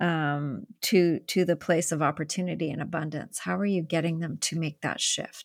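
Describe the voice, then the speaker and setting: In a very clean recording with a silent background, a woman with an unremarkable speaking voice talks fairly slowly at a fairly low pitch in a Canadian accent. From Canada. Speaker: podcast host. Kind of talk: interview conversation.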